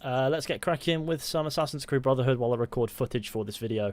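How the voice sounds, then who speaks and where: A man's very fast speech in a British accent on a very clean recording with a silent background. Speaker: gaming streamer. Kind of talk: casual live stream chat. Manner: soft-spoken.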